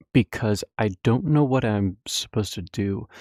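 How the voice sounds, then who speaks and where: In a very clean recording with a silent background and a dry, close sound free of echo, a man speaks with a dark, mellow tone, fairly low pitch and ordinary pitch variation. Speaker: gaming streamer. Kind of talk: casual chat. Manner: halting.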